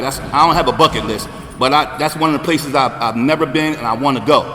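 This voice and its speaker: A man speaks at a very fast pace with a fairly high pitch. Noticeable background noise is present. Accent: American. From New Jersey, greater Camden area. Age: 60s. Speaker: recovery speaker. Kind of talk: recovery testimony at convention. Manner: animated.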